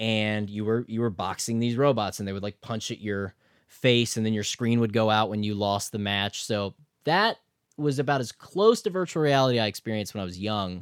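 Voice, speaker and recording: On a very clean recording with a silent background, a man talks at a fairly quick pace. He has a normal speaking voice with a fairly low pitch. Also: ordinary pitch variation, dry, close sound with no echo. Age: 30s. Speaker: gaming podcast host. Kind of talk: casual chat.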